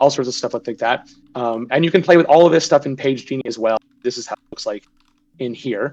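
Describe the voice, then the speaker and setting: A man talks at a fairly quick pace in a medium pitch with ordinary pitch variation and big swings in loudness. The sound is dry and close with no echo, with music in the background. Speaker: game developer. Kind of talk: live stream tutorial. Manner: fast.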